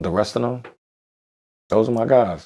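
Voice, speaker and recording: Speaking at a fairly quick pace, a man with a New York accent has a dark, mellow tone and vocal fry. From New York, Brooklyn (Bed-Stuy). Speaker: rapper. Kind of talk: interview chat.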